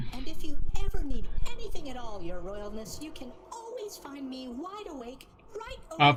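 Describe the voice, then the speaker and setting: A woman speaks at a moderate pace in a high-pitched, put-on character voice. Her pitch swings very widely. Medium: game stream. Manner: chipper, chatty.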